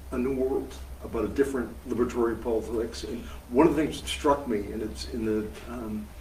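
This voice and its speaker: There is audible room echo as a man with an American accent speaks at a moderate pace. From US Northeast (Massachusetts). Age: 70s. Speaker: veteran socialist activist. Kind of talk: interview. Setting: live event with audience. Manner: projects well.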